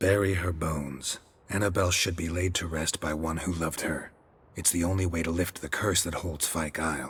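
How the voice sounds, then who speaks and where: A man speaks at a fairly quick pace in a put-on character voice with a very deep, low pitch. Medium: video game. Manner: terse, clipped, flat.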